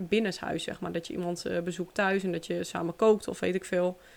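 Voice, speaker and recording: A woman talks at a fairly quick pace in a medium pitch, her intonation monotone and flat. The recording is very clean, with a silent background. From Netherlands. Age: 20s. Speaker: podcast host. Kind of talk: casual monologue.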